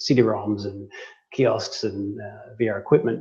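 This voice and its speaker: A man speaks in an Australian accent with a somewhat breathy voice. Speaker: tech company CEO. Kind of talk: interview.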